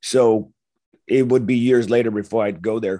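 With an American accent, a man talks at a medium pitch in an ordinary speaking voice. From Los Angeles. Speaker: war veteran. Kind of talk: testimony.

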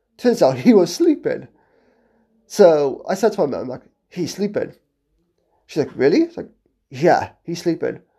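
A man with a British accent at a moderate pace, with long, frequent pauses and big swings in loudness. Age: 20s. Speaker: podcast host. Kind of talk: casual monologue.

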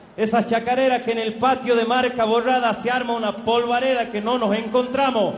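A man speaks at an extremely high pitch with monotone, flat intonation, at a fairly quick pace with hardly any pauses. Audible room echo and noticeable background noise surround him. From Chaco Salteño, northern Argentina. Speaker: folk singer. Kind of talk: live stage announcement.

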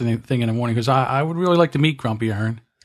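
Over a quiet background, a man with an American accent talks very fast, with ordinary pitch variation. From US, South Jersey. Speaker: podcast host. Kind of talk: casual chat.

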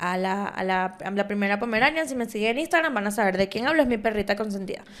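Lively intonation marks this woman's speech in a Venezuelan accent. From Venezuela, Valencia (Carabobo). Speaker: podcast host. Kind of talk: casual chat. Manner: animated.

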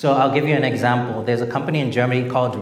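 Fairly even, medium-pitched male speech within audible room echo. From Zimbabwe. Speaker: venture capital investor and author. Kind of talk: public talk at an event. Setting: stage with audience.

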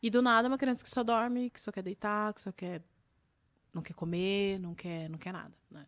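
Big swings in loudness mark this moderately paced voice, which has ordinary pitch variation and is heard in a very clean recording with a silent background. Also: woman, medium pitch for a woman. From Brazil, Campinas (interior of São Paulo state). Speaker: journalist and communication strategist, former TV presenter. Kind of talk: podcast interview conversation. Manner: energetic.

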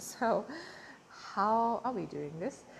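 This woman speaks at a very slow pace, with vocal fry. Her intonation is lively. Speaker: social media coach and vlogger. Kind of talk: casual vlog monologue. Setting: hotel room.

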